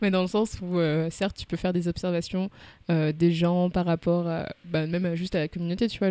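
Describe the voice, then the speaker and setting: Moving at a fairly quick pace, a woman speaks in a dark, mellow tone at a fairly low pitch. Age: 20s. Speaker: podcast host. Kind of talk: casual interview. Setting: recorded at guest's home.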